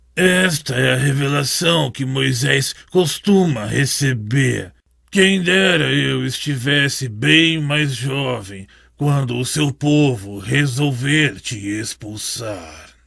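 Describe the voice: A man puts on a cartoonish character voice at medium pitch. His delivery is very slow, with lively intonation.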